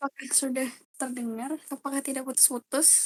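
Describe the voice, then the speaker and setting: Heard dry and close with no echo, a woman speaks at a high pitch in a monotone, flat intonation. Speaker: study group tutor. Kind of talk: online tutoring session. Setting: voice chat on Discord. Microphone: quiet, low volume.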